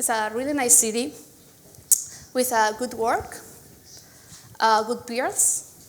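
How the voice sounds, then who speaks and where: Speaking in a Spanish accent, a woman talks at a fairly slow pace with long, frequent pauses and a high pitch. Noticeable background noise and audible room echo surround her voice. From Spain. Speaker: software engineer, conference speaker. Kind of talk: conference talk. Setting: stage with audience.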